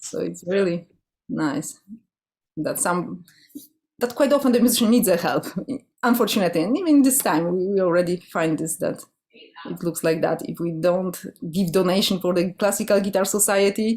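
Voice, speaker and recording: At a moderate pace, a woman with a Polish accent speaks with long, frequent pauses. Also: medium pitch for a woman, lively intonation. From Poland. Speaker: classical guitarist and guitar orchestra director. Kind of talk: interview.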